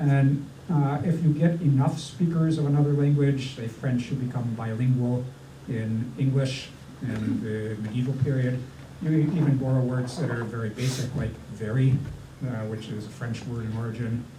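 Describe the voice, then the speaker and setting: The speaker has a Minnesotan accent and a moderate pace with fairly even intonation. Noticeable background noise and audible room echo fill the recording. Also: man, medium pitch for a man. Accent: Minnesota. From US, Northern Virginia. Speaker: linguist, historian of English. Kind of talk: panel talk at public science event. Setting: restaurant with live audience. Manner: many fillers (uh, um).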